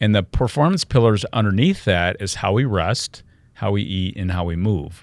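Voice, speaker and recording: A man with an American accent has an ordinary speaking voice, fairly low in pitch, with ordinary pitch variation and a moderate pace, on a very clean recording with a silent background and a dry, close sound with no echo. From US Midwest, Michigan. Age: 60s. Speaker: health and wellness speaker. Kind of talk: interview. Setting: studio.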